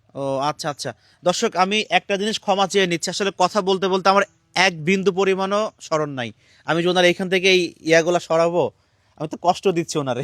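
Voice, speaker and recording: Recorded very cleanly against a silent background, a man's high-pitched voice comes across dry and close with no echo. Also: ordinary pitch variation. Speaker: charity vlogger. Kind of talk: on-location charity video interview.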